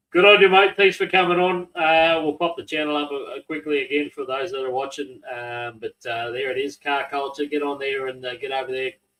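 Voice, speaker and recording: Hardly pausing, a man with an Australian accent talks at a fairly quick pace. His pitch is fairly high, with ordinary variation. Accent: Australian twang, local. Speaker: podcast host and drag racing announcer. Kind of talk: casual interview.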